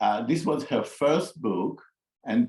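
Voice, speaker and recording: Speaking fairly slowly with an Israeli accent, a man uses a fairly high pitch with very wide pitch swings and vocal fry. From Israel (raised on a kibbutz). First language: Hebrew. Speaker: psychologist. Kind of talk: interview conversation. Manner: halting, with frequent fillers and repetitions.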